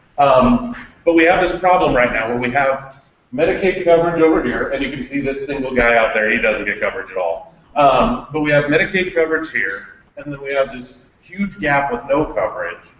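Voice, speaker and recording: An unremarkable speaking voice moves at a fairly quick pace. The intonation is lively. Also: man, fairly high pitch for a man. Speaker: health policy presenter. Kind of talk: presentation.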